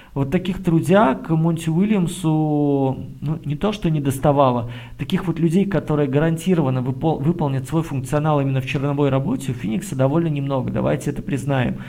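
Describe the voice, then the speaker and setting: Speaking at a fairly quick pace, a man uses a fairly high pitch with ordinary pitch variation and a dark, mellow, somewhat breathy tone. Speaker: basketball podcast co-host. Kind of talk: casual basketball analysis chat.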